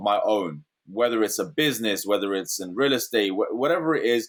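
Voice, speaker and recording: With an American accent, the speaker talks at a moderate pace with ordinary pitch variation. The recording is very clean, with a silent background. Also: man. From London, England. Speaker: real estate investor. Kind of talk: interview.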